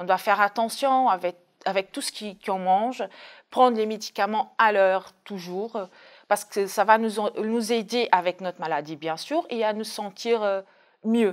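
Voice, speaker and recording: Against a quiet background, a woman speaks at a medium pitch. Her pace is fairly slow, with ordinary pitch variation. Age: 30s. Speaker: dialysis patient. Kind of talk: testimony. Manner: hesitant, with fillers. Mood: calm, reflective. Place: studio. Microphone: lapel.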